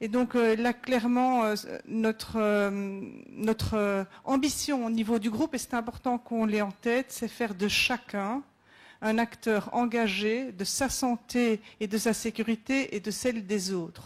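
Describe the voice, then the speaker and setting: On a very clean recording with a silent background, a woman speaks at a very slow pace with a fairly high pitch and very even loudness. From Belgium. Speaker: safety manager at a company. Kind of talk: conference presentation. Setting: round table at a conference. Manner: hesitant, many fillers.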